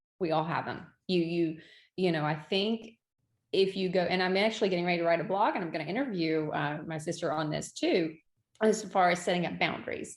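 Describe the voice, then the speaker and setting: A woman's normal speaking voice, fairly low in pitch, with ordinary pitch variation, a fairly quick pace, and a very clean recording against a silent background. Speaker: event venue owner. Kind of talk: podcast interview.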